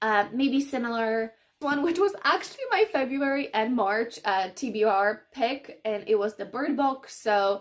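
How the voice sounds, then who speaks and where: In a Polish accent, the speech goes at a fairly slow pace with lively intonation and hardly any pauses. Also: woman, fairly high pitch for a woman. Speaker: book vlogger. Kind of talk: casual vlog talk. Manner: casual, with many fillers.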